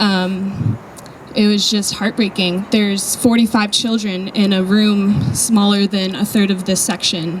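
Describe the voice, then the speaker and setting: Soft-spoken, a woman keeps very even loudness and fairly even intonation over noticeable background noise. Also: medium pitch for a woman. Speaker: volunteer speaking about charity trip. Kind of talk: talk to an audience. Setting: event with audience and mic.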